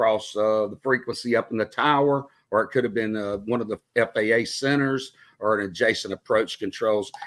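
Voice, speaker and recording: A man's medium-pitched voice in a Southern US accent, with fairly even intonation at a moderate pace, on a very clean recording with a silent background. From Mississippi, Meridian. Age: 50s. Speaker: retired air traffic controller, podcaster. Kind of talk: interview.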